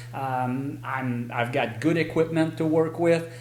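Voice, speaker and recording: Someone with a French accent speaks with fairly even intonation, audible room echo and noticeable background noise around them. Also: man. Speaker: horse trainer. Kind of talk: casual channel update to viewers.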